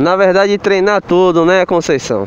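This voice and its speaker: A man's high voice at a fairly slow pace, dry with no echo, over light background noise. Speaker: motorcycle driving instructor. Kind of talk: casual vlog instruction. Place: street. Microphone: phone near.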